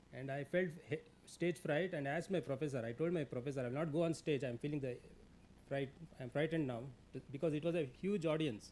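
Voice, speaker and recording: A man with an Indian accent speaks at a very fast pace. His pitch is fairly high, with ordinary variation. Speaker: labour law expert, guest speaker. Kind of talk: seminar talk. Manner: hesitant with fillers.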